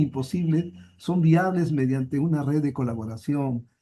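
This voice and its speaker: A man speaks in a dark, mellow tone. His pitch shows ordinary variation. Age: 70s. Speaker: university professor. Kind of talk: conference Q&A discussion. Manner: halting, many repetitions.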